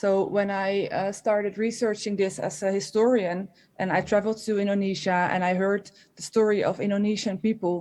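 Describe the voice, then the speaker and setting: The delivery is monotone and flat, with a dark, mellow tone. The speaker has a Dutch accent and keeps a moderate pace. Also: woman, medium pitch for a woman, quiet background. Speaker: historian. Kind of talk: panel discussion. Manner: halting, many fillers and restarts.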